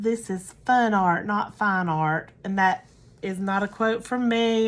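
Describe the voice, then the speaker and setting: At a very slow pace, a woman with an American accent and medium pitch speaks on a very clean recording with a silent background. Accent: Southern US, thicker when tired. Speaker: craft tutorial creator. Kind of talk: tutorial. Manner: casual, halting with fillers.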